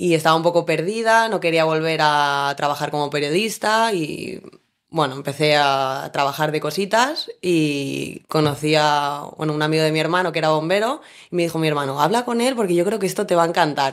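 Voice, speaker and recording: At a moderate pace and with ordinary pitch variation, a woman talks in a very deep, low voice. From Spain, Valencia. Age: 30s. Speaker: firefighter. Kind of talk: interview.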